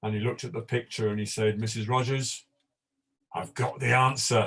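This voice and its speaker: Somewhat breathy and in a British accent, the voice moves at a moderate pace with monotone, flat intonation. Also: man. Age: old. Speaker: panel guest. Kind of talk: panel discussion. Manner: stammer.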